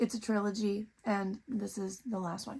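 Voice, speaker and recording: A woman speaks at a fairly slow pace, her voice fairly high-pitched and somewhat breathy. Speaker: book reviewer. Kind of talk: casual book review vlog.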